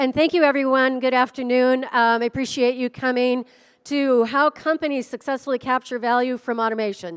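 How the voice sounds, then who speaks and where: With an American accent and an energetic tone, a woman speaks at a moderate pace on a very clean recording with a silent background and a dry, close sound with no echo. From US Midwest, northern Minnesota. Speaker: automation program lead. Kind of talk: conference presentation. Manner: loud.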